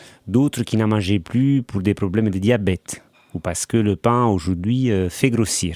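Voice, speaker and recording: A man with an Italian accent speaks at a fairly slow pace, his pitch fairly low and his tone dark and mellow, in a dry, close sound with no echo on a very clean recording with a silent background. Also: ordinary pitch variation. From Italy, Naples. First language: Italian (speaking French). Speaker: baker and former journalist. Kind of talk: interview. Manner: hesitant, many fillers.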